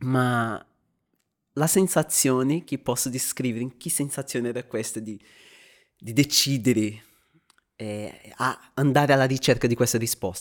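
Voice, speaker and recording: A man speaks at a fairly slow pace and medium pitch with ordinary pitch variation, long, frequent pauses and big swings in loudness, on a very clean recording with a silent background. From Brazil. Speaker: theology student sharing faith story. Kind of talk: faith testimony in podcast interview. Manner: halting, with repetitions.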